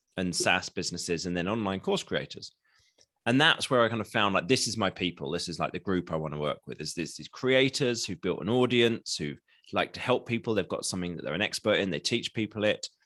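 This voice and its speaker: A man with an English accent talks at a fairly quick pace, his tone bright and sharp and his intonation lively. The sound is dry and close, with no echo. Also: fairly low pitch for a man, quiet background. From England. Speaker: marketing consultant. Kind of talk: podcast interview. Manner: casual.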